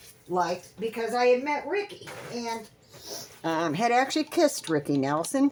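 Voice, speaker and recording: Over noticeable background noise, a woman talks at a fairly high pitch and a moderate pace. Her pitch swings very widely. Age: 70s. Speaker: crafting vlogger. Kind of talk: casual storytelling.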